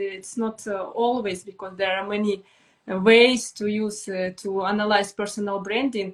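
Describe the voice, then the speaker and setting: A medium-pitched woman with a Russian accent talks at a moderate pace with fairly even intonation. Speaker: brand strategist. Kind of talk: live stream conversation. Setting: online live stream. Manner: halting, hesitant English.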